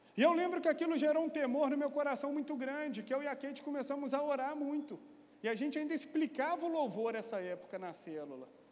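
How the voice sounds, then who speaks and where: Speaking at a very fast pace, a man with an extremely high pitch sounds animated, with ordinary pitch variation and audible room echo. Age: 40s. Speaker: pastor. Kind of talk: sermon. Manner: animated storytelling.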